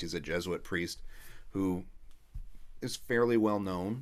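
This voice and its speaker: With audible room echo, a man talks at a fairly low pitch. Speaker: rabbi teaching a class. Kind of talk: online lecture.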